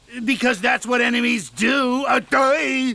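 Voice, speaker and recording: This is a cartoonish character voice, raised and projected. It moves at a fairly slow pace. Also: man, extremely high pitch for a man. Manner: sarcastic, blustering.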